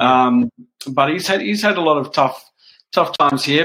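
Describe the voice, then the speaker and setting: A man with an Australian accent, a bright, sharp tone, lively intonation and a fairly quick pace. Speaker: motorsport journalist. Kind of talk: casual chat.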